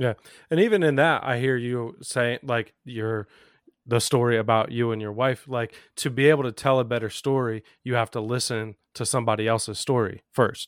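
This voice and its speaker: Recorded very cleanly against a silent background with a dry, close sound and no echo, a man with an unremarkable speaking voice talks at medium pitch and a moderate pace with fairly even intonation. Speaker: co-host. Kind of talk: casual chat.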